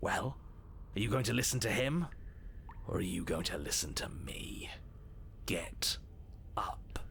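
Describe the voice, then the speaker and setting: A man whispers in a put-on character voice at a moderate pace, with long, frequent pauses. Background noise is clearly audible. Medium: video game. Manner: blunt, forceful.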